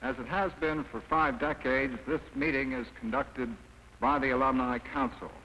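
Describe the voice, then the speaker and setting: A man with an unremarkable speaking voice talks at a moderate pace, with medium pitch and ordinary pitch variation. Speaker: newsreel narrator. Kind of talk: documentary narration.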